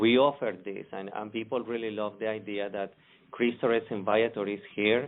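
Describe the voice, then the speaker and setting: With a Spanish accent, a man speaks at a fairly low pitch and moderate pace, his intonation fairly even. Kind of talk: interview. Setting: podcast.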